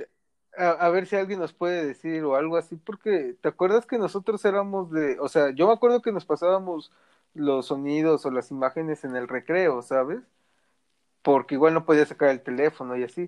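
A man speaks in a normal speaking voice at a moderate pace. His pitch sits fairly high, with ordinary variation. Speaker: podcast host. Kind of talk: casual chat.

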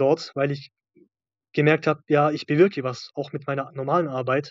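A man with a plain, everyday voice talks at a fairly quick pace with a fairly high pitch. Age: 30s. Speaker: maintenance electronics technician, former coaching client. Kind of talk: interview testimony.

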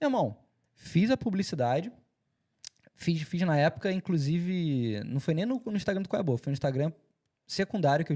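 A man speaks at a fairly quick pace in a dark, mellow tone. His voice is somewhat breathy. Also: dry, close sound with no echo, very clean recording, silent background. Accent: Carioca. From Rio de Janeiro, Brazil. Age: 30s. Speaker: entertainment media founder and presenter. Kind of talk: casual interview chat.

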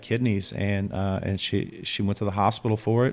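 A man with an American accent speaks at a fairly low pitch. His intonation stays flat and monotone. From Chicago, south side. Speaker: graffiti artist. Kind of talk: casual chat.

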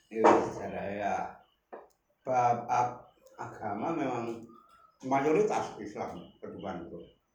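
A man with a Javanese accent and a medium-pitched voice speaks very slowly, with long, frequent pauses. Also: ordinary pitch variation. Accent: Javanese-accented Indonesian. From Yogyakarta, Java, Indonesia. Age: 70s. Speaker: village elder interviewed on local history. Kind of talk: oral history interview. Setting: in person at his home.

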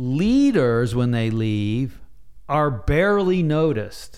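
Speaking with an American accent, a man at medium pitch swings his pitch very widely. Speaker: retired Navy officer and leadership author. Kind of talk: casual interview conversation. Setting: in person, recorded with mics.

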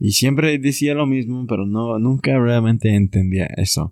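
A man speaks in a dark, mellow tone at a fairly slow pace. The recording is very clean and dry, with a close sound, a silent background and no echo. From US Southwest (Arizona). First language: English (speaking Spanish). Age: 20s. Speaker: returned missionary, university student. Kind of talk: religious casual conversation.

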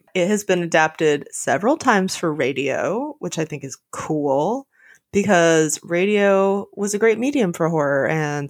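A woman's ordinary speaking voice, fairly low in pitch with lively intonation, at a fairly slow pace on a very clean recording with a silent background. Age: 30s. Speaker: literature podcast host. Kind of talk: casual chat.

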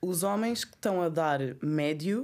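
This woman has a plain, everyday voice, fairly low in pitch with lively intonation, on a very clean recording with a silent background. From Angola. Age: 30s. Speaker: art curator. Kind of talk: casual chat.

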